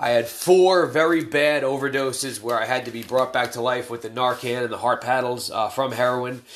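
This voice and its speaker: Over noticeable background noise, a man speaks at a moderate pace with fairly even intonation and hardly any pauses. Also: medium pitch for a man. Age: 30s. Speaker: addiction recovery podcast host. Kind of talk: casual monologue. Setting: home during quarantine. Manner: hesitant, many fillers.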